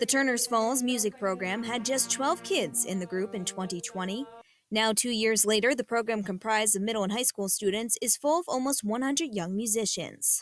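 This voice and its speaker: With music in the background, a woman talks at a fairly quick pace with hardly any pauses, her pitch fairly high and varying in an ordinary way. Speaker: television news reporter and anchor. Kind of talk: broadcast TV news reporting. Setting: on-location field report / studio news read.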